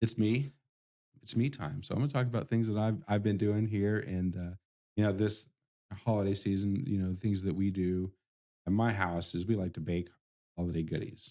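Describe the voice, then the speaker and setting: A man speaks in a dark, mellow tone. His pauses are long and frequent. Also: fairly low pitch for a man, ordinary pitch variation, moderate pace. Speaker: IT support business owner and live stream host. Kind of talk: casual solo live stream talk. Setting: live stream in office studio. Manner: soft-spoken, talking too low.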